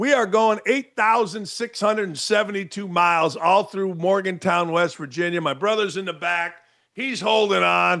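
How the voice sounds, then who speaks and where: A man's high-pitched, bright, sharp, raised and projected voice at a moderate pace, with ordinary pitch variation and a quiet background. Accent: American. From Northwest Indiana. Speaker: sports talk show host. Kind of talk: live stream Q&A chat. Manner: animated.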